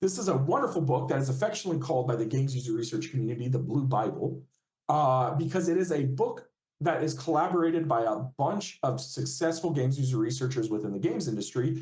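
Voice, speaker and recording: At a very fast pace, a man speaks at medium pitch, somewhat breathy, with very even loudness and ordinary pitch variation. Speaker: games user researcher. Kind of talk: guest lecture.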